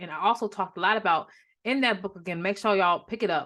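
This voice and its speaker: At a very fast pace, a woman with a medium-pitched voice speaks with ordinary pitch variation over a quiet background. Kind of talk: faith-based teaching talk to camera. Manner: casual, with many fillers.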